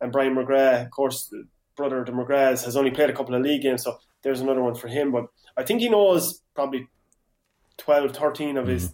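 A man with an Irish accent, fairly high-pitched and very fast. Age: 30s. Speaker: hurling pundit and club player. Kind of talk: casual sports chat.

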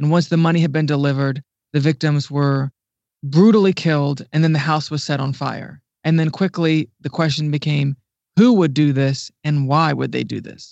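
With an American accent and an unremarkable speaking voice, a man talks at a moderate pace in a fairly high pitch with fairly even intonation. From Ohio, US Midwest. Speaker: digital news writer and editor. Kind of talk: podcast interview.

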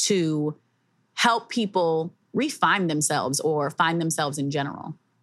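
Speaking at a fairly slow pace, a woman uses an ordinary speaking voice with a fairly low pitch and ordinary pitch variation. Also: very clean recording, silent background. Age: 30s. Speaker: podcast host. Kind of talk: casual chat.

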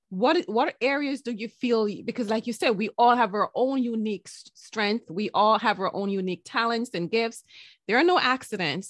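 An ordinary speaking voice belongs to a woman who speaks at a moderate pace with lively intonation. The background is quiet, and the sound is dry and close with no echo. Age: 40s. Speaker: podcast host. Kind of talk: interview.

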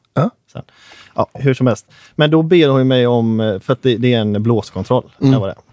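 Here a man with an unremarkable speaking voice talks at medium pitch. He keeps a moderate pace with ordinary pitch variation. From Gothenburg northern archipelago (Hönö), Sweden. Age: 20s. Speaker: musician (trumpet player). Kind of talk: casual chat.

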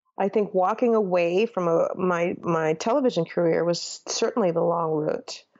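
In an American accent, a woman with an ordinary speaking voice talks at a moderate pace, with ordinary pitch variation and very even loudness. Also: medium pitch for a woman. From Minnesota, Saint Paul. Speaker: former TV journalist and author. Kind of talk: interview.

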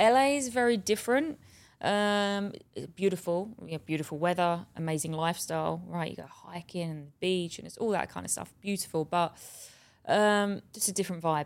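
The voice has a southeast English accent with ordinary pitch variation and big swings in loudness. The recording is very clean, with a silent background. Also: woman, medium pitch for a woman, moderate pace. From southeast England, Bexleyheath. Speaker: actress. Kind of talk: casual interview.

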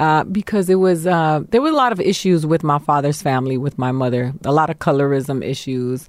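Using a very deep, low pitch, a woman with an American accent talks at a fairly quick pace with ordinary pitch variation and hardly any pauses on a very clean recording with a silent background. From Miami, Florida. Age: 40s. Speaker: stand-up comedian. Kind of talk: casual chat.

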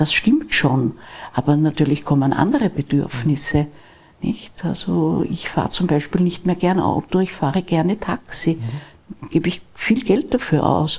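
A woman's fairly low, somewhat breathy voice with lively intonation at a fairly slow pace. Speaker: lawyer. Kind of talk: interview. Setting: live event forum. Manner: quiet.

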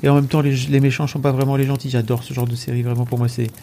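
A man is talking. His voice falls at a medium pitch. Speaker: Twitch streamer. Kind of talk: casual chat. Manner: animated.

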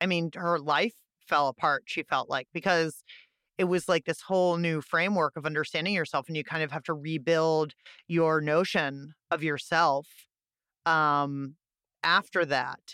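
Bright and sharp in tone, the voice carries an American accent at a moderate pace with fairly even intonation, in a very clean, dry, close recording with no echo and a silent background. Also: woman, very deep, low pitch for a woman. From Pittsburgh, Pennsylvania. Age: 40s. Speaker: podcast host and producer. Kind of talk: casual interview chat. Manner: halting, many repetitions and fillers.

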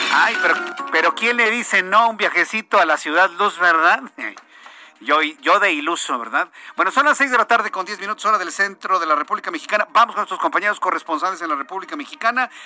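A man's high, raised and projected voice, bright and sharp in tone, with lively intonation at a very fast pace. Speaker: radio news anchor. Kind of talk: radio news show. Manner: animated.

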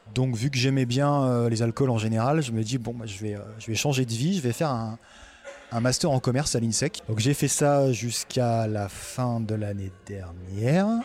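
Here a man speaks in an unremarkable speaking voice at a fairly slow pace, with a medium pitch and ordinary pitch variation. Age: 30s. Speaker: bar franchisee, former aviation worker. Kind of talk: interview.

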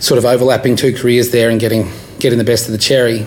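Through noticeable background noise and audible room echo, a man with an Australian accent speaks at a very fast pace and a medium pitch. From Australia, rural area near Canberra. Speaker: stand-up comedian. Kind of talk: casual interview.

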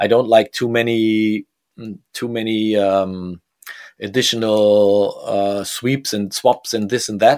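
With a German accent, the speaker talks at a very slow pace and with fairly even intonation in a very clean recording with a silent background. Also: man, fairly low pitch for a man. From Germany, Bremen. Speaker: DJ and music producer. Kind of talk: interview. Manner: halting.

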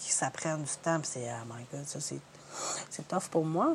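A woman with lively intonation at a moderate pace. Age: 40s. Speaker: painter, singer and hairdresser. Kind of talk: interview.

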